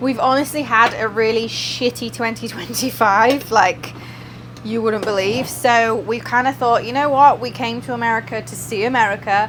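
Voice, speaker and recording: Moderate pacing in an English accent with fairly even intonation, over noticeable background noise. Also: woman, fairly high pitch for a woman. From England. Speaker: vlogger. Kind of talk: casual vlog. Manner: chatty.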